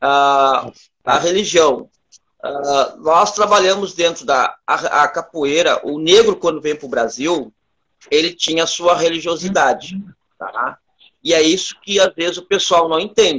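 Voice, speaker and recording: A man's high, bright and sharp voice, fairly slow, with ordinary pitch variation. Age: 40s. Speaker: capoeira master. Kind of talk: interview. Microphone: unstable connection.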